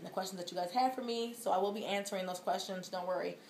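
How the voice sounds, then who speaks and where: A woman speaks at a medium pitch with monotone, flat intonation. Audible room echo surrounds her voice. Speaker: vlogger. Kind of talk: casual vlog update. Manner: fast.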